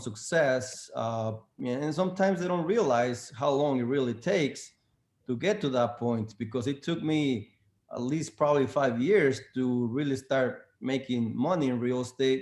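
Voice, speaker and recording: With a non-native accent, a man talks at a moderate pace and a medium pitch. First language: not English. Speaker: real estate agent. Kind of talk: panel discussion. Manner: halting, many fillers.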